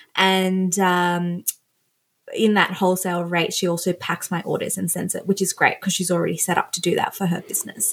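On a very clean recording with a silent background, a woman with a somewhat breathy voice speaks at a medium pitch and a fairly quick pace in a monotone, flat intonation. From Australia. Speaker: fashion stylist and influencer. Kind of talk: casual chat.

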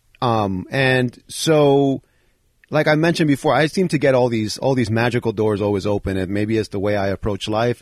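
An ordinary speaking voice, a man with an American accent and medium pitch talks at a fairly quick pace with ordinary pitch variation, in a dry, close sound with no echo. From Bronx, New York. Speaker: former professional BMX rider. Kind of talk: casual interview. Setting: home basement.

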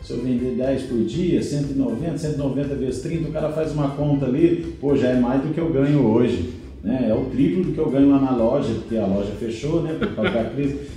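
Over noticeable background noise and audible room echo, a man speaks with hardly any pauses and ordinary pitch variation. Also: fairly high pitch for a man, moderate pace. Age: 30s. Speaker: digital marketing professional. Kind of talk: casual chat.

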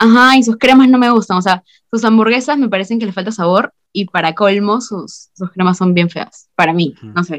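With an ordinary speaking voice at medium pitch, a woman talks with hardly any pauses, ordinary pitch variation and big swings in loudness, the sound dry and close with no echo. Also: moderate pace. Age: 20s. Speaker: student. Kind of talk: casual chat.

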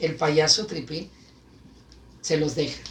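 A man's fairly slow, animated delivery. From Guadalajara, Mexico. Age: 40s. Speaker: clown and radio presenter. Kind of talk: casual chat.

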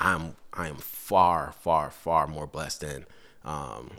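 This man's very deep, low voice has a bright, sharp tone, vocal fry, fairly even intonation and an American accent. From Guyana, then Brooklyn, New York. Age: 30s. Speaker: fire lieutenant. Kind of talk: casual chat. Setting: at a kitchen table.

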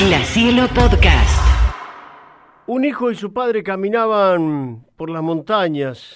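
Music can be heard behind the voice. The words come out very slowly. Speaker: radio storyteller. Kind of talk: bedtime story narration, gentle fable read aloud. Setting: radio studio. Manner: calm, warm, measured storytelling pace; expressive, shifts tone for the characters' lines.

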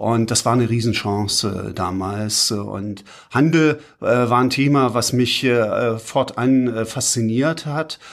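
The recording is very clean with a silent background. A man at medium pitch speaks very slowly with ordinary pitch variation. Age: 50s. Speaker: urban development consultant, managing partner. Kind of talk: interview. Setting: studio, sitting face to face. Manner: hesitant, many filler sounds.

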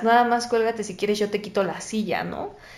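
Room echo can be heard around a woman's fairly high voice. She speaks at a moderate pace with ordinary pitch variation. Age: 20s. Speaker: podcast guest sharing anxiety experience. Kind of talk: casual chat.

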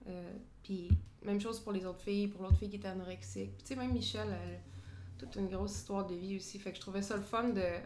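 A woman talks at a very fast pace. Music plays in the background, and room echo is audible. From Quebec, Drummondville. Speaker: sports photographer. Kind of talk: casual interview.

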